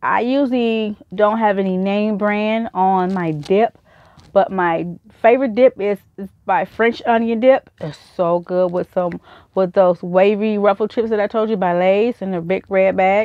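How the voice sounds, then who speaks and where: Against a quiet background, a woman talks at a fairly slow pace. Her medium pitch carries fairly even intonation. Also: dry sound with no echo. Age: 40s. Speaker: YouTuber. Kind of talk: haul video. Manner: casual, rambling. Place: home room. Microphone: webcam.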